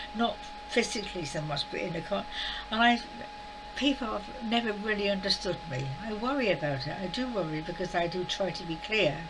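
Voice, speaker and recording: A woman with a medium pitch speaks at a fairly quick pace with lively intonation. Noticeable background noise and audible room echo surround her voice. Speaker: spiritual vlogger. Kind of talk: casual monologue. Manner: fast; halting.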